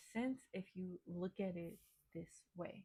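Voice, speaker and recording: This woman's speech is somewhat breathy and carries ordinary pitch variation. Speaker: tarot reader. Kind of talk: tarot reading to camera. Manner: hesitant, many fillers.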